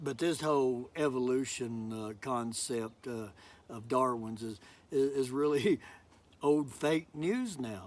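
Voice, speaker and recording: Pitch rises and falls in an ordinary way as the words come very slowly. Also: man, medium pitch for a man. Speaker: preacher, sermon giver. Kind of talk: sermon delivered to a congregation, casual preaching style. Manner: conversational, with hesitations and fillers.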